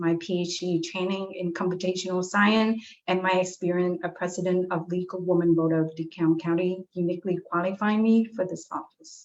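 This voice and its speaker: In a medium-pitched voice with a non-native accent, a woman speaks at a fairly quick pace with monotone, flat intonation. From abroad, immigrant to US. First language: not English. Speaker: political candidate, chemistry lecturer. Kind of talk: candidate forum statement.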